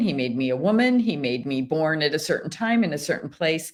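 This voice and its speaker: Moderate pacing from a woman with an American accent, very cleanly recorded over a silent background. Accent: American accent, noticed in France. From United States. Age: 50s. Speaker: missionary author. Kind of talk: interview. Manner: halting, many restarts and fillers.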